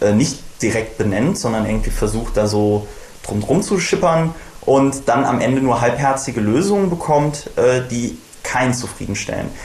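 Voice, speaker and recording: There is audible room echo and noticeable background noise. A man with a medium pitch speaks at a moderate pace with ordinary pitch variation. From western Germany (Bonn). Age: 20s. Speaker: politician / party candidate. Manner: frequent filler hesitations.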